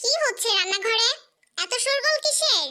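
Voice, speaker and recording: In a squeaky, put-on character voice, a woman speaks at a moderate pace with an extremely high pitch. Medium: read story. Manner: commanding with servants, affectionate with family.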